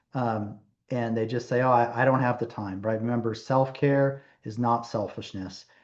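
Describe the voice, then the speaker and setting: This man speaks with a monotone, flat intonation. His pitch sits in the medium range. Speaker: physician. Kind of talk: webinar presentation. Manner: slower-paced.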